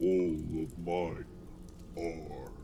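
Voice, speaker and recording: Against clear background noise, a man uses a put-on character voice pitched very deep and low. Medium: read story. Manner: commanding, lofty.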